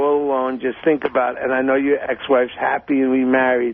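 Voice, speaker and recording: Very fast speech over noticeable background noise. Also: man. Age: 60s. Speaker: divorce lawyer. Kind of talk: casual chat.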